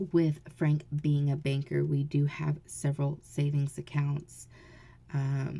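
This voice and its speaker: A quiet woman with an American accent, very deep and low in pitch, dark and mellow in tone and somewhat breathy, at a very slow pace with monotone, flat intonation and long, frequent pauses. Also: very even loudness. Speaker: mom vlogger. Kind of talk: casual vlog. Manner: speaking low, quiet; hesitant, many fillers.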